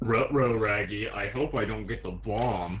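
A man puts on a character voice, talking at a moderate pace with a fairly low pitch. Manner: comical, scared.

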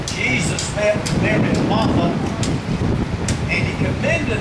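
Loud noise in the background surrounds a man as he talks. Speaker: evangelist / preacher. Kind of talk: sermon delivered in a tent revival. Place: tent. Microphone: podium.

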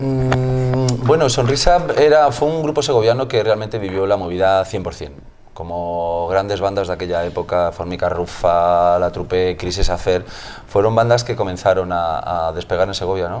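Delivered in a normal speaking voice at a moderate pace, the lively intonation comes over light background noise. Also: man, fairly low pitch for a man. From Spain. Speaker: musician in a tribute band, music teacher. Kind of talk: interview. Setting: music venue. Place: bar. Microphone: lapel.

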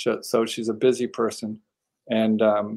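The background is quiet. The pace is fairly slow. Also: man. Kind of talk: interview answer. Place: home room.

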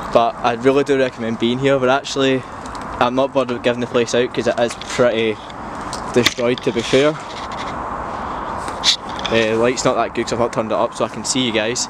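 A man speaks at a fairly quick pace over loud background noise. The sound is dry, with no echo. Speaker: vlogger. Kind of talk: casual vlog chat. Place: open country. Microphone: phone near.

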